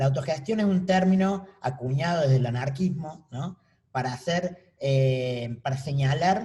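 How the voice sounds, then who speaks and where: In a dark, mellow tone, a man speaks somewhat breathily at a fairly slow pace, his pitch fairly high with ordinary variation. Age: 30s. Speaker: artist. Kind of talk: panel talk.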